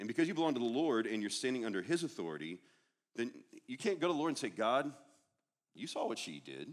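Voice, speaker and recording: Talking at a very fast pace yet with long, frequent pauses, a man shows very wide pitch swings and vocal fry. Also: medium pitch for a man. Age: 40s. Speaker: guest preacher. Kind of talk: sermon.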